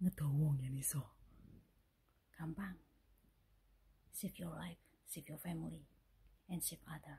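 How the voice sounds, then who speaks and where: A woman whispers at a fairly slow pace. Vocal fry runs through her voice. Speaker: vlogger. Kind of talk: casual talk to camera. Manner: whispered. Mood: friendly, smiling, earnest. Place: home room. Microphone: phone near.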